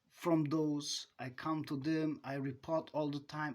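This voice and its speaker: A fairly slow delivery with a non-native accent. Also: man. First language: not English. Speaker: self-styled advice giver. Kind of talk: monologue. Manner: halting.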